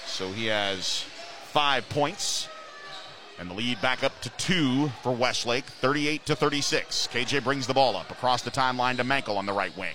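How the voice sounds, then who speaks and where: Background noise is noticeable as a man speaks at a fairly slow pace. His pitch is medium, with ordinary variation. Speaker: radio play-by-play announcer. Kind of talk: live sports commentary. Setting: gymnasium broadcast.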